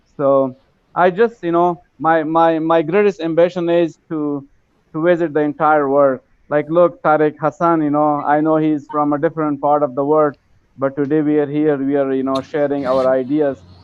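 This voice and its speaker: This man speaks with an Afghan accent. His intonation stays fairly even. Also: fairly high pitch for a man, moderate pace. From Afghanistan. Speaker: English learner, participant in online class. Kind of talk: casual chat.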